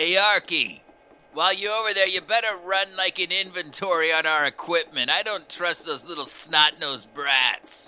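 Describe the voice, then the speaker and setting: A man puts on a character voice, pitched high. He keeps to a moderate pace. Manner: crude, lazy, sarcastic.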